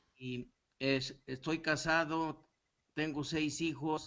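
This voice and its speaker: Very slowly, a man speaks with a fairly high pitch. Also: quiet background. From Mexico, Torreón. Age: 70s. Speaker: student, retired professor. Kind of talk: class self-introduction.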